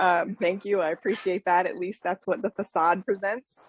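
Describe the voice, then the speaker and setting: A woman speaks at a moderate pace in a fairly low pitch, with a dry, close sound and no echo. Noticeable background noise is present. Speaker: business networking participant. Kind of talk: casual chat.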